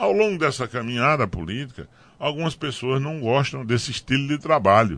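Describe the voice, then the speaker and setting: A man with an ordinary speaking voice, lively intonation and a moderate pace against a quiet background. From Pernambuco sertão, Brazil. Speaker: politician, former mayor. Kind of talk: radio interview. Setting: radio studio.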